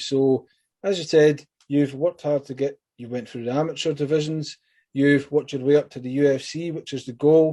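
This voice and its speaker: A man with a Scottish accent talks at a fairly quick pace in a dark, mellow tone. His pitch is fairly high, with ordinary pitch variation. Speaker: MMA interviewer. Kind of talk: interview. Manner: fast.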